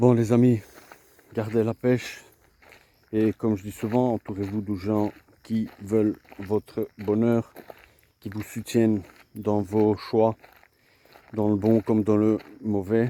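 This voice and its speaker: A soft-spoken man with a fairly low voice talks very slowly in a flat monotone, leaving long, frequent pauses, with a dry, close sound and no echo. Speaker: vlogger, boxing coach. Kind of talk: casual vlog monologue. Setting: outdoors. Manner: halting, repetitive.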